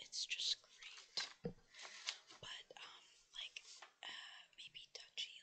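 A woman is speaking. She whispers. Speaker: ASMR creator. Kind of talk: casual talk to camera. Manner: whispered. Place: home room. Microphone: headset.

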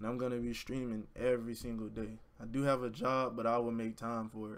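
A man with an American accent talks at a fairly quick pace in a monotone, flat intonation. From Florida (Orlando). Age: 20s. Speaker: YouTuber and college student. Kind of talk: casual vlog intro to camera. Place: home room. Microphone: webcam.

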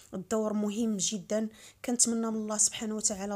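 Speaking with a Moroccan accent, a woman talks at a fairly quick pace and medium pitch in a dark, mellow tone. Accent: Moroccan Arabic (Darija). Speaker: vlogger. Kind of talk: news announcement with condolences.

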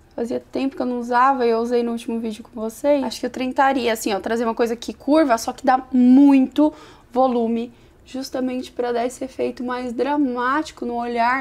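Her pitch sits high. This woman speaks very fast. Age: 30s. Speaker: beauty youtuber. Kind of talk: makeup tutorial and product review. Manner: animated. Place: home room.

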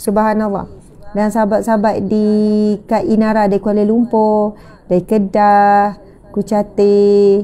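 The woman speaks at a fairly slow pace in a monotone, flat intonation with very even loudness. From Malaysia. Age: 30s. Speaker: religious teacher. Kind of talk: religious lecture. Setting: live stream with audience present. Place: home room. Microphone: lapel.

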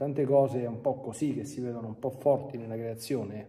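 At a fairly quick pace, a man speaks with a dark, mellow tone that is somewhat breathy. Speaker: priest. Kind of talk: sermon. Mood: calm, teaching. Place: church.

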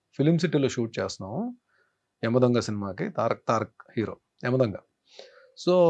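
A man's dark, mellow tone with lively intonation. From Andhra Pradesh, near Visakhapatnam. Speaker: actor. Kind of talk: interview. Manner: polite.

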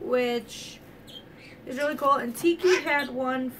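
Loud background noise sits under this woman's voice. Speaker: pet owner vlogger. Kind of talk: casual vlog chat. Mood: cheerful, relaxed. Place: home room. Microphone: phone near.

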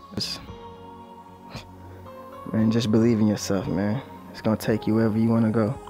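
Over music in the background, a man talks with monotone, flat intonation. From Belize. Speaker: musician. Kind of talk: documentary interview monologue. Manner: reflective, casual.

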